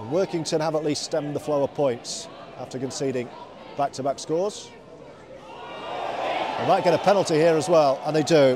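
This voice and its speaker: A man speaks at a moderate pace with a fairly high pitch and ordinary pitch variation over noticeable background noise. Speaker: rugby league commentator. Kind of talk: live sports commentary. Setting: stadium commentary.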